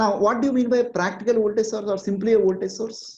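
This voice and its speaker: This woman has a dark, mellow tone at a medium pitch, with vocal fry. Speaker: online exam-prep teacher. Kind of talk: online lecture.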